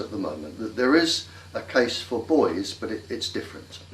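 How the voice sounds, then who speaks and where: A man with an English accent, amid noticeable background noise and audible room echo. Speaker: scientist. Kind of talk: interview. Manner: slow.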